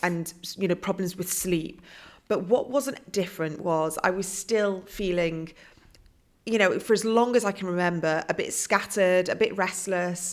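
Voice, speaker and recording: Speaking at a fairly slow pace, a woman with a British accent uses a medium pitch and ordinary pitch variation. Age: 40s. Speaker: author and coach. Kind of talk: podcast interview.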